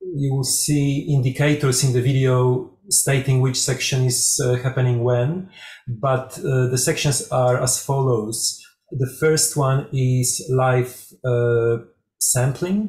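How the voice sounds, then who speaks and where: In a Polish accent, the speaker talks at a very slow pace, somewhat breathy, with ordinary pitch variation and very even loudness. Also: man, medium pitch for a man. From Poland. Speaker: music researcher and performer. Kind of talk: conference presentation.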